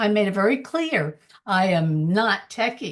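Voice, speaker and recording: A woman's somewhat breathy voice at medium pitch with very wide pitch swings. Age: 70s. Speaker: former real estate broker turned online entrepreneur. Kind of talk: panel testimony / sales pitch.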